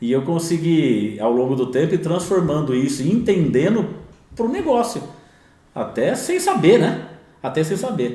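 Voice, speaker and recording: With noticeable background noise and audible room echo, a man speaks at a fairly slow pace in a high pitch that makes very wide swings. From interior of São Paulo state, Bauru, then São Paulo city from age 8. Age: 50s. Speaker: entrepreneur in construction. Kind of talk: podcast interview.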